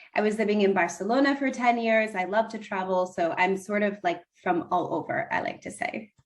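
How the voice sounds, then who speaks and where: With an American accent and a plain, everyday voice, a woman talks fairly quickly at a medium pitch, her intonation lively and hardly any pauses between words. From United States. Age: 30s. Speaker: relationship coach. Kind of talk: podcast interview.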